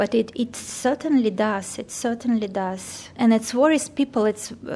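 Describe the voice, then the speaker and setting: Speaking with a non-native accent, a woman has a fairly high pitch. Her pace is fairly slow. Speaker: volunteer with holocaust survivors. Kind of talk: interview. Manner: halting.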